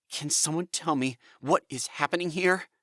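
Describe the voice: In a very clean recording with a silent background, a man does a put-on character voice at a fairly high pitch and a moderate pace.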